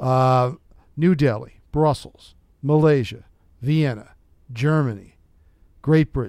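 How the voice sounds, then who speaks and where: A man with an American accent, medium pitch and ordinary pitch variation, at a very slow pace with long, frequent pauses. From United States. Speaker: TV journalist and podcast host. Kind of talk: interview. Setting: studio.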